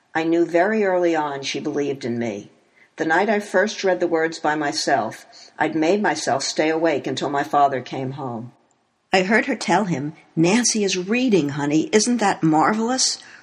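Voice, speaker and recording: The speaker has an American accent and a moderate pace. The background is quiet. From US Northeast (Elizabeth, New Jersey). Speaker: memoir author. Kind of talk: reading aloud.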